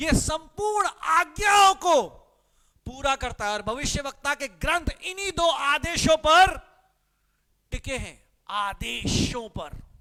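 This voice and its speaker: With a Punjabi accent, a man uses a raised, projected voice at an extremely high pitch, with lively intonation and big swings in loudness. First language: Punjabi (speaking Hindi). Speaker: pastor. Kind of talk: sermon. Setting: live-streamed church service.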